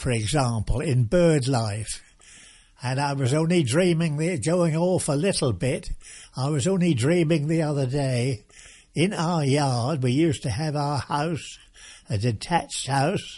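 Against a quiet background, a man speaks at a fairly slow pace in a somewhat breathy, dark, mellow tone, fairly high in pitch with ordinary pitch variation. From England, Norfolk. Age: 90s. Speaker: retired local resident recounting history. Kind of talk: oral history interview. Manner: halting.

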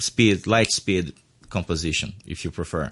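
A man talks with a Portuguese accent. He keeps a moderate pace with ordinary pitch variation. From Brazil. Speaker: musician and composer. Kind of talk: interview.

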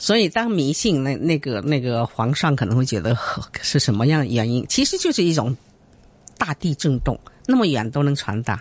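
A woman talks with a very deep, low pitch. Her pitch swings very widely, and her pace is moderate. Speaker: guzheng performer and music teacher. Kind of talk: interview. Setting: radio studio.

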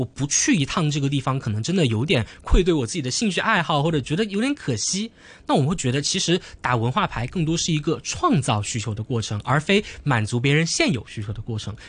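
Over a quiet background, a somewhat breathy man with a fairly high pitch speaks at a fairly quick pace with very wide pitch swings. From Hong Kong. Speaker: university student debater. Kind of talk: radio interview.

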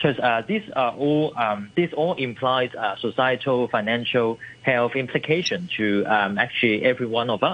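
A man with a normal speaking voice talks at a moderate pace and medium pitch, with ordinary pitch variation, very even loudness and hardly any pauses. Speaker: environmental campaigner. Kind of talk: radio interview. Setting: phone call.

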